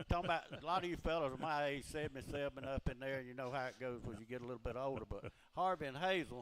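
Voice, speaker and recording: With a Georgia accent, this man talks at a very fast pace with hardly any pauses, at a medium pitch with ordinary pitch variation. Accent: US Southern (Georgia). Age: 70s. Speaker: retired race car driver. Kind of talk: radio interview, storytelling. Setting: live radio show at a beach bar and grill.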